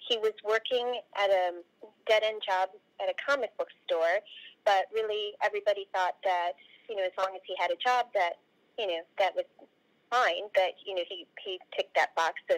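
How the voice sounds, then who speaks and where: A woman speaks at a moderate pace with ordinary pitch variation and long, frequent pauses over a quiet background. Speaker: remote interview guest. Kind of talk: interview answer. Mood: warm, proud. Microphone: video call.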